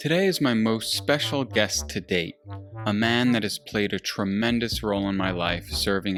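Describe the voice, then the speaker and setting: Over music in the background, a man talks at a moderate pace in a fairly low pitch with ordinary pitch variation. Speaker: podcast host. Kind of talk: podcast intro.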